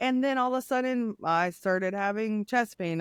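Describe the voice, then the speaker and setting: A woman at medium pitch speaks in an animated tone with ordinary pitch variation, the sound dry and close with no echo. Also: very clean recording, silent background. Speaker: former nurse, grief and trauma coach. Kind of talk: podcast interview.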